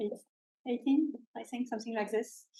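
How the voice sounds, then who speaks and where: The woman has a French accent. Her tone is dark and mellow. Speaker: industrial research scientist. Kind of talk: seminar talk. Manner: halting, many filler sounds.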